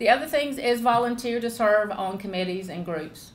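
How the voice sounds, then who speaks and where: A Southern accent with ordinary pitch variation. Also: woman. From US South, South Georgia. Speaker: agricultural leader and speaker. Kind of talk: panel talk.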